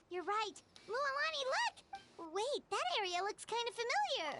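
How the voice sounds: The pitch sits extremely high in this cartoonish character voice. Delivery proceeds at a moderate pace.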